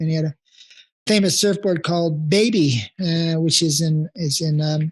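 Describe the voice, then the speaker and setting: A man speaks with a Californian accent. His pitch is fairly high. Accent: Californian American. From US West Coast (Encinitas, California). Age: 70s. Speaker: veteran surfer. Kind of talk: interview. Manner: halting, many fillers and repetitions.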